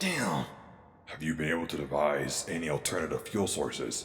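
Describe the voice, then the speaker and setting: A put-on character voice, raspy and very deep, moves at a moderate pace with slight echo and light background noise. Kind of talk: audio drama. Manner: commanding, measured.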